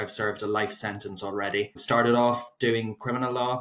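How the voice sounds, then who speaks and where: In a Northern Irish accent, a man speaks at a moderate pace and medium pitch with monotone, flat intonation. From Northern Ireland, County Fermanagh. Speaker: solicitor. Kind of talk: podcast interview.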